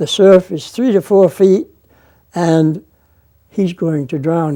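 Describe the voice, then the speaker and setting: Delivered with a Maine accent at a fairly slow pace, the voice has a dark, mellow tone and ordinary pitch variation. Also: man. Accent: Maine New England. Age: 80s+. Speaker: former lighthouse keeper. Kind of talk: interview answer.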